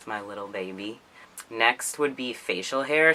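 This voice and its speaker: Noticeable background noise fills the recording. A man talks at a fairly slow pace. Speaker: vlogger. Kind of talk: casual vlog. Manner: casual, filler-heavy.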